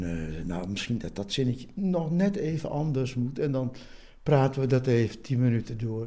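A man's voice, medium in pitch and dark and mellow in tone, moves at a moderate pace. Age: 70s. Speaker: poet. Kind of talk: casual chat. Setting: at his home.

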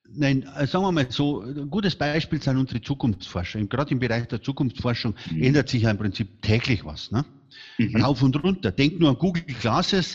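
With a somewhat breathy voice at medium pitch, a man talks at a fairly quick pace in an animated tone with lively intonation. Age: 60s. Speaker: speaker agency founder. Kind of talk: interview.

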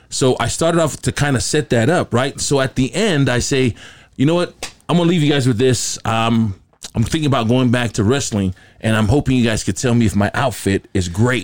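Speaking at a fairly quick pace, a man with an ordinary speaking voice keeps a medium pitch, ordinary pitch variation and very even loudness. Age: 50s. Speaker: radio and TV host. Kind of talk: casual banter.

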